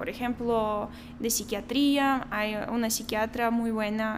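Very slow speech with fairly even intonation. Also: woman. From Belarus. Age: 20s. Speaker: doctor. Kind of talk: interview.

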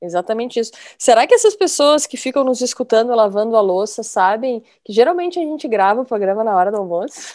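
This woman's voice sits fairly high and moves with lively intonation. She talks at a very fast pace. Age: 50s. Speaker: podcast host, journalist. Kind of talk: casual chat.

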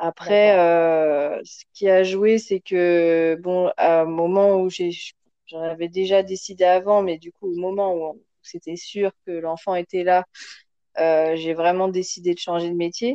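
Speaking at a very slow pace, a woman keeps a flat, monotone intonation while her volume rises and falls sharply. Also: medium pitch for a woman. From France. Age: 30s. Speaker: mother, podcast guest. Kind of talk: casual chat.

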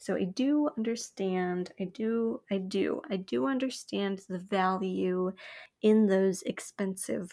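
A woman with an American accent speaks very slowly in a dark, mellow tone. Her intonation is lively, and the recording is very clean with a silent background. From US West Coast (Hemet, California). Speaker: solo podcast host. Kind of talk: casual solo monologue. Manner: rambling, self-correcting.

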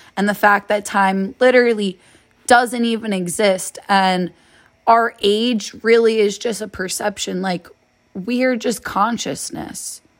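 This woman has a plain, everyday voice with a medium pitch. She speaks at a fairly slow pace with fairly even intonation. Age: 20s. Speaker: solo podcaster. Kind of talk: personal monologue. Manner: casual, rambling.

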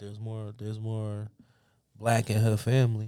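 A man at medium pitch with a dark, mellow tone. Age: 20s. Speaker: podcast co-host. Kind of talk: casual chat. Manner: animated.

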